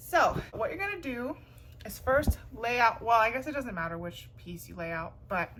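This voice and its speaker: Noticeable background noise is present. The voice moves at a moderate pace, with very wide pitch swings and big swings in loudness. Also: woman. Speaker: YouTuber, craft tutorial creator. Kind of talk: tutorial. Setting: at home, on living room floor. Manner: animated.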